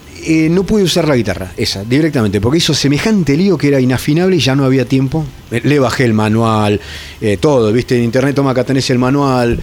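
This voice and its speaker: Speaking at a very fast pace with lively intonation and very even loudness, a man with an Argentine accent and a medium pitch comes through over noticeable background noise. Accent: Rioplatense Argentine Spanish. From Argentina, Entre Ríos islands and Zárate. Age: 40s. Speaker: metal guitarist. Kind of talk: casual chat. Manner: halting, frequent repetitions.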